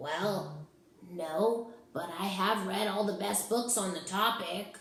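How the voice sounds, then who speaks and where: A put-on character voice, female-sounding and breathy, at a middle pitch. It moves at a fairly slow pace with slight echo. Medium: read story. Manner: polite, meek.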